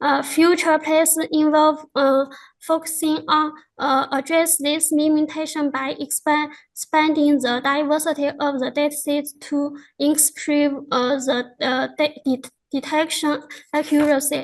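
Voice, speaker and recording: Spoken in a Chinese accent, the voice moves at a fairly slow pace with monotone, flat intonation. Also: woman, high pitch for a woman. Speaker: researcher presenting a paper. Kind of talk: conference presentation. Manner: halting, many fillers.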